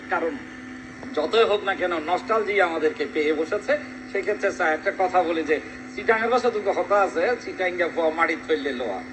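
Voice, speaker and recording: Lively intonation marks a man's high voice, heard over noticeable background noise. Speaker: interviewer. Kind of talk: interview question.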